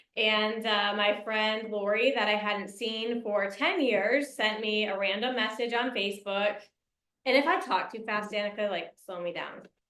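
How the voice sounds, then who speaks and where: In an American accent, a woman with an unremarkable speaking voice and a fairly high pitch talks at a moderate pace with fairly even intonation. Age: 30s. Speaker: network marketing leader. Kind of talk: motivational talk.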